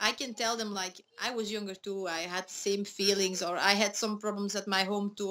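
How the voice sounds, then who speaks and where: A woman talks at a fairly quick pace with hardly any pauses. Her medium-pitched voice is monotone, with flat intonation. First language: Dutch. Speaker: MMA fighter and schoolteacher. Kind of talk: interview.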